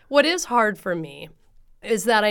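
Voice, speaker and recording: A woman talks with a West Coast accent at a moderate pace. The recording is very clean with a silent background. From US Pacific Northwest, Oregon (Coos Bay, Portland area). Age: 30s. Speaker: runner and running coach. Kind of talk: casual interview. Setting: in person, close together.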